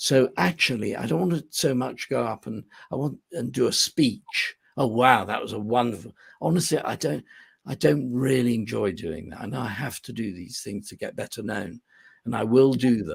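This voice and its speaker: A man in an English accent at medium pitch and a moderate pace, with lively intonation, vocal fry and big swings in loudness. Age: 60s. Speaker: business coach. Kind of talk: podcast interview. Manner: halting.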